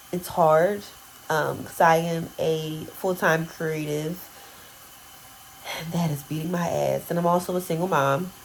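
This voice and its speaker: Over noticeable background noise, a woman speaks at a fairly low pitch and a fairly slow pace, her intonation monotone and flat. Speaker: lifestyle vlogger and photographer. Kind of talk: casual vlog talk to camera. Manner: halting, many fillers.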